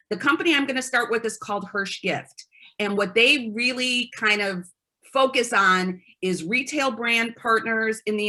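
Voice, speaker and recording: This woman speaks at a moderate pace in a fairly high, bright, sharp tone with ordinary pitch variation. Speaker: promotional products sales rep. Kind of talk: product presentation.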